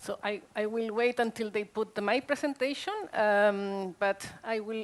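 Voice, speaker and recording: Speaking in a Spanish accent, a woman uses a fairly high pitch with ordinary pitch variation at a fairly slow pace. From Chile. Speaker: social worker. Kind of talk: conference talk. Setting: stage with audience. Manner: animated.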